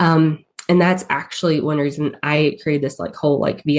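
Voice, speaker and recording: With a strong Southern accent, a woman speaks at a moderate pace in a very deep, low pitch and fairly even intonation. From US South. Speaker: paid ads strategist. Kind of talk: podcast interview. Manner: hesitant, many fillers.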